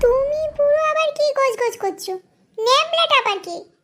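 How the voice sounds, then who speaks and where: A woman performs a squeaky cartoonish character voice at an extremely high pitch, with lively intonation and a moderate pace. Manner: blunt, cheeky.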